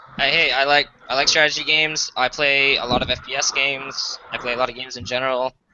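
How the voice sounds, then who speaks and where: A man talks at a very fast pace with a fairly high pitch and monotone, flat intonation. Noticeable background noise sits under his voice. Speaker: gamer joining stream. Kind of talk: casual chat.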